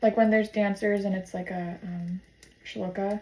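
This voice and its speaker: Somewhat breathy and dark, mellow in tone, a woman's medium-pitched voice moves at a moderate pace with flat, monotone intonation. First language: sign language. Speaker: vlogger. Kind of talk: casual vlog monologue. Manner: hesitant with many fillers.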